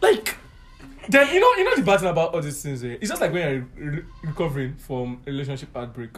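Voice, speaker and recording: A man with a fairly high pitch and lively intonation speaks at a fairly quick pace as noticeable background noise sounds behind him. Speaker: friend of the host. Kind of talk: casual chat.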